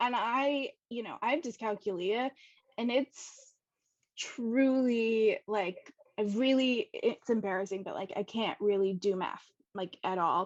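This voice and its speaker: A woman with an unremarkable speaking voice talks at a fairly high pitch with ordinary pitch variation, the sound dry and close with no echo over a quiet background. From US West Coast, San Diego. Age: 30s. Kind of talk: interview, personal story. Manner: casual, many fillers.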